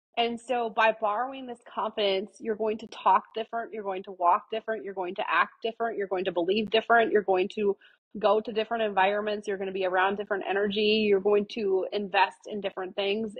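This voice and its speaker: A woman talks at a very fast pace with hardly any pauses, in a medium pitch. Her intonation is fairly even, but her loudness swings widely. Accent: American. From Iowa, US Midwest. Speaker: entrepreneur. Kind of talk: podcast interview. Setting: live-streamed podcast. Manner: confident.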